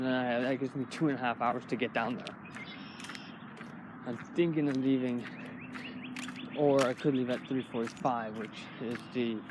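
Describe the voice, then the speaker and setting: Pausing long and often, a man speaks at a moderate pace amid noticeable background noise. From Canada. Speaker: vlogger. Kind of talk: casual vlog monologue. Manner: rambling, hesitant with many fillers.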